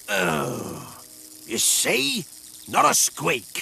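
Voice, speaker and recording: Using a cartoonish character voice, a man speaks at a medium pitch. Clear background noise runs underneath. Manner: salty pirate turns of phrase.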